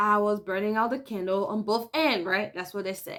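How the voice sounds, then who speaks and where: The voice has an animated tone at a moderate pace. The recording is very clean, with a silent background. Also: woman. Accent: West African francophone. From West Africa. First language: French. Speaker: work-life balance coach. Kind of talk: casual vlog talk.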